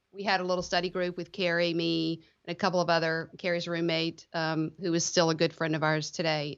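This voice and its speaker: The speaker has a South Louisiana accent and talks at a fairly quick pace. The intonation is monotone and flat. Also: woman. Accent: South Louisiana Southern US. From US South, Lafayette, South Louisiana. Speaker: tax attorney, law firm co-founder. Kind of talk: casual interview.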